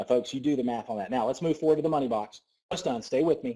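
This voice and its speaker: With a Southern US accent, this speaker talks very fast in a dark, mellow tone over a very clean recording with a silent background. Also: man. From US South. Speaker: network marketing business coach. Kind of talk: sales pitch. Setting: conference call. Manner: animated.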